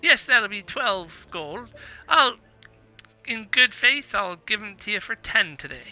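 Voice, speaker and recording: In a fairly high put-on character voice, the speaker goes fairly slowly with long, frequent pauses as music plays in the background. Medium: actual play. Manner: guarded, prickly.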